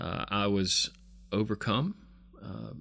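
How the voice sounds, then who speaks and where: This man has a Southern US accent and a fairly low pitch. The recording is very clean, with a silent background. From US South, South Carolina. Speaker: pastor. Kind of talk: interview.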